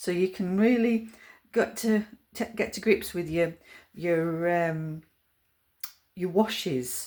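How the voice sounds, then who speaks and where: Talking very slowly with long, frequent pauses, a woman in a Yorkshire accent uses medium pitch and ordinary pitch variation. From Yorkshire, England. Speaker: watercolour art teacher. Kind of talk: tutorial. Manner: hesitant, many fillers.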